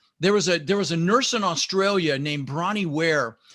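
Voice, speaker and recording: This man's voice has a bright, sharp tone. His delivery is animated. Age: 60s. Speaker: real estate investor and business coach. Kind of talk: podcast interview.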